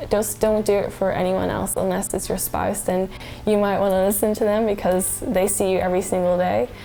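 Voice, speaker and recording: A woman at a medium pitch, fairly quick in pace, with fairly even intonation and very even loudness, amid noticeable background noise. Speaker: vlogger. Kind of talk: casual talk to camera.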